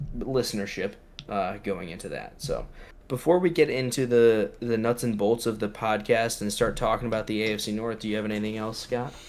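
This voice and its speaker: A man mumbles at a fairly quick pace in a fairly low pitch. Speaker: podcast host. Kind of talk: casual chat. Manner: mumbling; fast.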